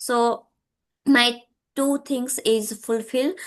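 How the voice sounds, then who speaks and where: In a quiet background, a woman talks with a Gujarati accent. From Gujarat, India. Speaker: English learner, YouTuber and tutor. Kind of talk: casual conversation practice. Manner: halting, many fillers.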